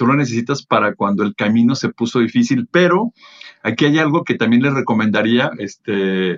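In a plain, everyday voice, a man of medium pitch talks at a moderate pace with lively intonation, recorded with a dry, close sound and no echo. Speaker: event producer and motivational speaker. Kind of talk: casual interview.

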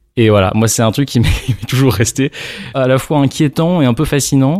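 With a plain, everyday voice, a man of medium pitch speaks with ordinary pitch variation in a dry, close sound with no echo. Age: 30s. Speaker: lawyer. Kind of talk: casual interview conversation.

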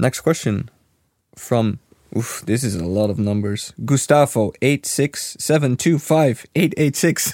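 A man with a Dutch accent and lively intonation, on a very clean recording with a silent background. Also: medium pitch for a man, fairly slow pace, dry, close sound with no echo. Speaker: game studio community manager, podcast host. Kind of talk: casual chat.

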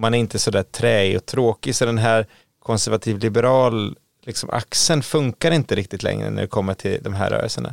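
Here a man with an unremarkable speaking voice talks at a medium pitch and a fairly quick pace, with ordinary pitch variation and a dry, close sound with no echo. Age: 40s. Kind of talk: casual chat.

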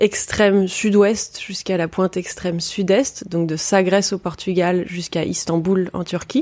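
In a normal speaking voice, a woman talks at a moderate pace with a medium pitch and fairly even intonation. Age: 30s. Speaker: travel writer and adventurer. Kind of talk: interview.

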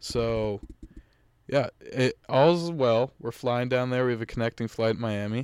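Speaking in an ordinary speaking voice with an American accent, a man at a medium pitch goes at a fairly slow pace with fairly even intonation, in a dry, close sound with no echo. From Massachusetts, North Shore. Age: 20s. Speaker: college student, podcast guest. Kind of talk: casual chat.

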